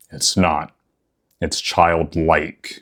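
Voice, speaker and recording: A man is speaking. His pace is very slow. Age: 30s. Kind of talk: personal reflective talk to camera. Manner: warm, earnest.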